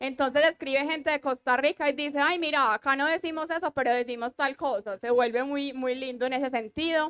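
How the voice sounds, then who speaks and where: A woman with an Antioquian accent speaks with a high pitch and fairly even intonation. The sound is dry and close, with no echo. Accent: paisa Colombian. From Colombia, Antioquia (paisa, Medellín). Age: 30s. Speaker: digital content creator / reading influencer. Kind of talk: panel discussion. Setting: stage with audience.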